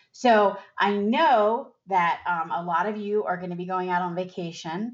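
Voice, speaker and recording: Here a woman talks in a normal speaking voice at medium pitch, with ordinary pitch variation. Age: 50s. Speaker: financial advisor podcast host. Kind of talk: solo podcast talk.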